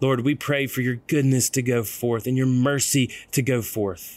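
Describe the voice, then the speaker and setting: On a very clean recording with a silent background, a man with an unremarkable speaking voice talks at a medium pitch and moderate pace with fairly even intonation. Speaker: ministry leader leading prayer. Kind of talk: guided prayer.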